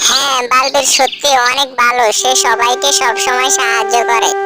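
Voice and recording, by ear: A female-sounding cartoonish character voice, high in pitch, talks at a moderate pace over loud background music.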